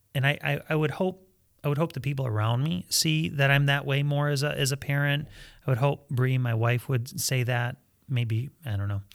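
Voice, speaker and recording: On a very clean recording with a silent background, a man with an American accent has an unremarkable speaking voice at a medium pitch and a moderate pace. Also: ordinary pitch variation. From Michigan, US. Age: 40s. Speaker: pastor. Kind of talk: casual chat.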